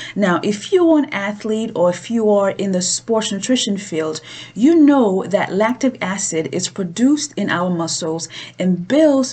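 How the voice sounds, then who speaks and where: A woman speaks at a very slow pace with a non-native accent and a medium pitch. Her pitch swings very widely, and there is noticeable background noise. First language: not English. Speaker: cooking show host. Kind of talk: cooking tutorial.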